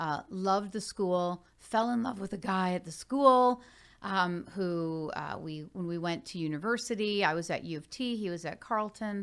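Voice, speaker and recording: With a Canadian accent, a woman speaks at a moderate pace with ordinary pitch variation in an ordinary speaking voice, captured in a very clean recording with a silent background. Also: medium pitch for a woman. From Hamilton, Ontario, Canada. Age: 40s. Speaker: marketing executive and author. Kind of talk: interview.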